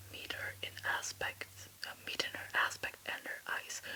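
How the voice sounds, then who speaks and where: Whispering in a playful tone at a fairly slow pace comes through noticeable background noise. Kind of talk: poetry reading. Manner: whispered, playful, flubbing words and laughing at herself.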